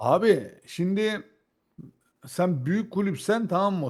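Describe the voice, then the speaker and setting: A very clean recording with a silent background captures a man speaking with ordinary pitch variation. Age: 40s. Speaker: football fan commentator. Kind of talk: casual debate.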